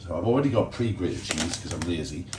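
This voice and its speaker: A man with a Geordie accent, very deep and low in pitch, with lively intonation, audible room echo and noticeable background noise. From northeast England, Ashington, Northumberland. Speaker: cooking YouTuber. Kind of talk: casual cooking tutorial vlog. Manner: chatty, self-deprecating asides.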